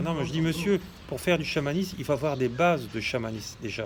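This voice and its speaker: Noticeable background noise behind speech of ordinary pitch variation. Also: man. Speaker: shamanism teacher and healer. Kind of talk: monologue video talk. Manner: hesitant, many fillers.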